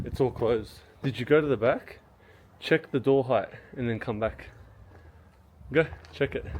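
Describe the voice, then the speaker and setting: Long, frequent pauses break up a man's speech. He keeps a moderate pace and fairly even intonation. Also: medium pitch for a man. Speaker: travel vlogger. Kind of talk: travel vlog narration. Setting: outdoors, walking around a monastery. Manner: casual, chatty.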